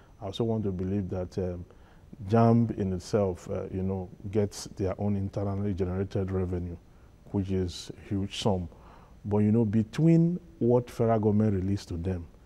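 A man speaks at a moderate pace in a dark, mellow tone, his fairly low pitch carried on fairly even intonation. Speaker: studio guest commentator. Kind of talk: live TV panel discussion. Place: studio. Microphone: lapel.

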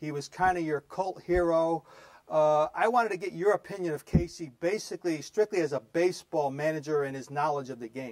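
With an American accent, a man with a normal speaking voice talks fairly quickly at a fairly high pitch, with ordinary pitch variation. His loudness swings widely against a quiet background. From US Northeast. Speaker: sports show host. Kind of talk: interview. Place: studio.

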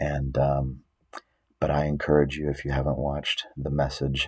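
A soft-spoken man with a very deep, low pitch and monotone, flat intonation against a quiet background. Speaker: bible prophecy teacher. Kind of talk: religious teaching monologue. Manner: soft-spoken, talking low; hesitant, many fillers. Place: home room. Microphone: webcam.

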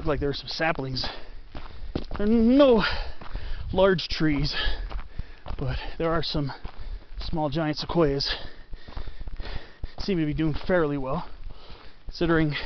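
Fairly slow speech broken by long, frequent pauses, dry with no echo, over light background noise. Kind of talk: casual walking narration. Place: forest. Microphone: phone near.

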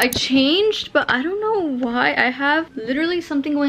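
This is a woman speaking. Her pitch is high. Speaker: vlogger. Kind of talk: casual vlog chat. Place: home room. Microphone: phone near.

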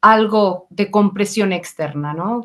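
A woman against a quiet background. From Mexico. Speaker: vascular physician, webinar moderator; webinar moderator. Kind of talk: webinar moderation. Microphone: video call.

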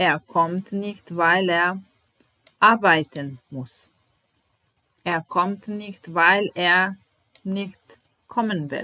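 A woman with a Serbian accent speaks very slowly, leaving long, frequent pauses. Her medium pitch shows ordinary variation, her tone is bright and sharp, and her loudness swings widely. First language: Serbian (speaking German). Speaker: German language teacher. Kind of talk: language lesson. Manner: slow, repetitive. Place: home room. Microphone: webcam.

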